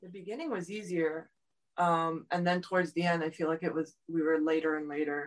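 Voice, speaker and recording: A woman with a South Florida accent talks at a fairly quick pace. Her intonation is flat and monotone. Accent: American, South Florida. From South Florida, Miami. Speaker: running support crew. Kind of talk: interview.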